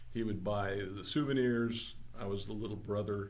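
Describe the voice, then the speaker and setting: Audible room echo surrounds a man speaking at a moderate pace in a fairly low pitch. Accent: American. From Southern California, San Fernando Valley. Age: 70s. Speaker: magazine co-creator and collector. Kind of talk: casual interview.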